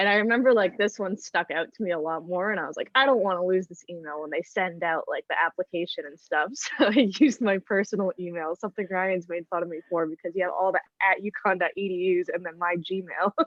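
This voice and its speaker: Speaking very fast, a woman uses a medium pitch with ordinary pitch variation and big swings in loudness. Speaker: college student contestant on a reality game. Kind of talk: casual chat.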